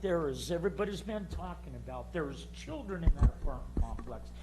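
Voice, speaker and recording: Audible room echo hangs around the voice. It belongs to a man with an American accent. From United States. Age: 60s. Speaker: resident giving public comment. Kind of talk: public comment at city meeting. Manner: agitated.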